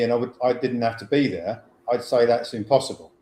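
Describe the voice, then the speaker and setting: Noticeable background noise sits under a man's voice. He speaks at a medium pitch and a moderate pace in a monotone, flat intonation. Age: 60s. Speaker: financial educator, former wealth manager. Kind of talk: webinar presentation. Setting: online webinar.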